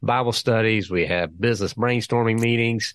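A man with an American accent at a fairly quick pace, in a dry, close sound with no echo over a quiet background. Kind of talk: interview conversation.

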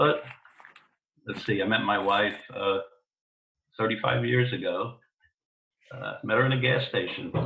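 This man speaks with an American accent at a fairly slow pace. His pauses are long and frequent. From New York, the Bronx. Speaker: podcast guest. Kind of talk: casual chat.

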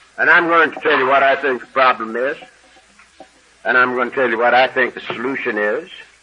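Fairly quick but broken by long, frequent pauses, a man speaks with fairly even intonation. Noticeable background noise is present. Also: medium pitch for a man. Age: 70s. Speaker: AA speaker. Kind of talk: recovery talk to an audience. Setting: stage with audience.

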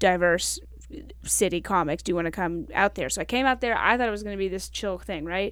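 At a very fast pace, a woman with an American accent speaks on a very clean recording with a silent background. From Kentucky, US South. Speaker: stand-up comedian. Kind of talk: casual interview chat. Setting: podcast studio.

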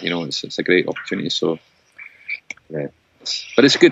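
A man speaks in a Scottish accent. His pitch is very deep and low. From Scotland. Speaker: folk musician and composer. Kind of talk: casual chat. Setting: remote call.

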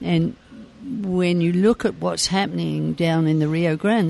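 This speaker, in a London accent, talks at a moderate pace. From England, southeast London. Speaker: community activist. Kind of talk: interview. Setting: cafe.

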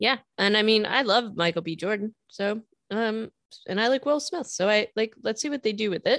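At a moderate pace, a woman uses an unremarkable speaking voice, fairly high with ordinary pitch variation, in a dry, close sound with no echo. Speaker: podcast co-host. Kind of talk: casual chat. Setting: remote recording.

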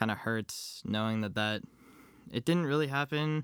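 In an American accent, the speaker keeps a moderate pace with ordinary pitch variation. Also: man, very clean recording, silent background. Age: young. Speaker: college student. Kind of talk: interview. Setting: at home. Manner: halting.

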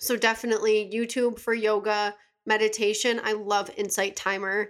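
Fairly high-pitched, this woman speaks in a Western New York accent at a moderate pace, her intonation monotone and flat. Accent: Western New York American. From Buffalo, New York, US. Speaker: yoga instructor and assistant. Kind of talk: casual chat.

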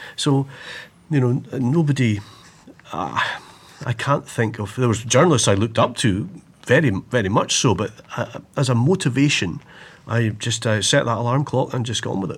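A somewhat breathy man with a Highland Scottish accent, ordinary pitch variation, and long, frequent pauses. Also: medium pitch for a man, moderate pace. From Scottish Highlands, Inverness. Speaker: TV news broadcaster and author. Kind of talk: casual chat.

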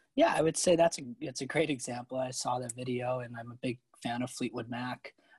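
Somewhat breathy, the voice moves at a fairly quick pace with a dry, close sound with no echo. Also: man, medium pitch for a man, fairly even intonation. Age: 20s. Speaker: investment research analyst. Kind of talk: podcast interview. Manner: many filler words.

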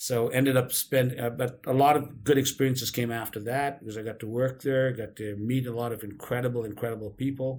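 A man talks at a fairly quick pace with hardly any pauses and a medium pitch. His voice is somewhat breathy, with monotone, flat intonation. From Karachi, Pakistan. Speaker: entrepreneur and podcast host. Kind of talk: interview.

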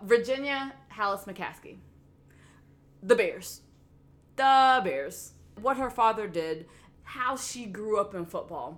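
Speaking very slowly with long, frequent pauses, a woman with a Tennessee accent uses a fairly high pitch, lively intonation and big swings in loudness. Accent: Southern US (Tennessee). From US South, Memphis. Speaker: sports podcast co-host. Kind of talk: casual chat.

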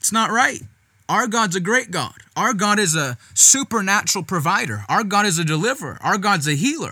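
Raised and projected, a man's high-pitched voice carries a bright, sharp, animated tone with lively intonation at a moderate pace, on a very clean recording with a silent background. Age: 20s. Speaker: evangelist guest-hosting youth podcast. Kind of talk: sermon-style podcast teaching.

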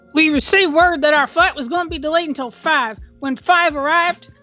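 A woman performs a put-on character voice at a high pitch. She moves at a fairly quick pace over faint music in the background.

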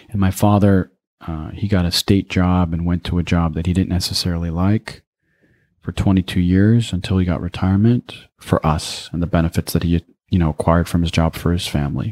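A man's very deep, low voice at a fairly quick pace with fairly even intonation, dry and close with no echo, on a very clean recording against a silent background. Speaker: speaker and writer, cross-cultural trainer. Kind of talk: interview.

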